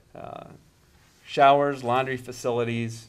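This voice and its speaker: A man's medium-pitched voice at a fairly slow pace, with an Upper Midwest US accent and ordinary pitch variation. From Minnesota, Stillwater. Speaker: marina owner. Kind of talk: interview answers. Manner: hesitant, many fillers.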